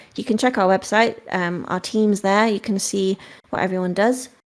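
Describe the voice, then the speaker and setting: A woman with a British accent and fairly even intonation, on a very clean recording with a silent background. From UK. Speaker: game company marketing staff. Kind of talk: live Q&A session. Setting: Discord voice chat.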